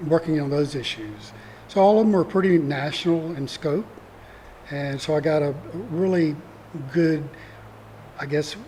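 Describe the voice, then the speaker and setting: A man with a Mississippi accent, fairly high-pitched, at a moderate pace with ordinary pitch variation and long, frequent pauses. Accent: Southern US (Mississippi). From US South, northeast Mississippi. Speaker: retired attorney, community theatre actor. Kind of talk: interview conversation. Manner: soft-spoken.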